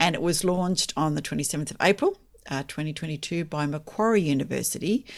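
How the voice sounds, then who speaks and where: A woman with an Australian accent speaks with a very deep, low pitch and ordinary pitch variation on a very clean recording with a silent background. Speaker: podcast host and author. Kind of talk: casual chat.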